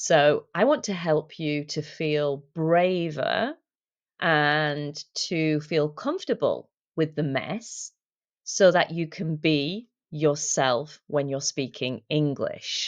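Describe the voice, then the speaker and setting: With a British accent, a woman speaks at a very slow pace in a very deep, low pitch with ordinary pitch variation. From UK. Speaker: English teacher and language coach. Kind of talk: talk. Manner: hesitant fillers.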